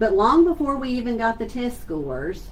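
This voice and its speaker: A woman speaks with very wide pitch swings in a Southeast Texas accent, with audible room echo and noticeable background noise. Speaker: school superintendent. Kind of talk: virtual town hall address. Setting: livestream on social media. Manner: conversational.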